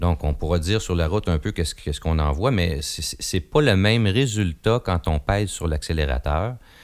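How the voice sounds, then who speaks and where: Someone speaks with a Quebec accent at a fairly slow pace. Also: man. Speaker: car review podcast host. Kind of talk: casual car review discussion.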